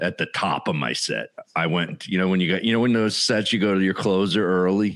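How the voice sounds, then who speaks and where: A man with a very deep, low pitch speaks in a South Jersey accent. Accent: South Jersey accent, noticeable. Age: 50s. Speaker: stand-up comedian. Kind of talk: casual podcast chat.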